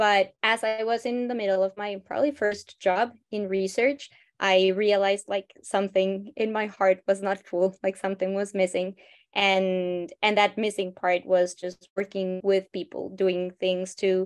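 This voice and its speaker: A woman with a Spanish accent speaks at a medium pitch in a flat monotone, with a dry, close sound and no echo. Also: fairly slow pace. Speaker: biologist, nonprofit co-founder. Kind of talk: interview.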